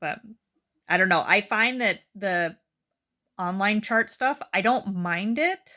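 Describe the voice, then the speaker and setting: Speaking loudly at a very slow pace with long, frequent pauses, a woman uses a bright, sharp tone and ordinary pitch variation. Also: medium pitch for a woman. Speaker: healthcare worker. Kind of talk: casual chat.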